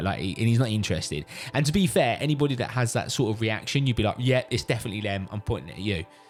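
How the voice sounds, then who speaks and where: Music plays in the background as a man with a British accent talks at a very fast pace. His pitch is medium and his intonation lively. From UK. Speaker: father. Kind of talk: casual storytelling to camera.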